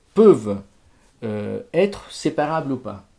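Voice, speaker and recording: A man with an Italian accent, fairly high-pitched, dark and mellow in tone, with very wide pitch swings. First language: Italian (speaking French). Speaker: music lecturer. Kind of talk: lecture. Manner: halting, with frequent repetitions.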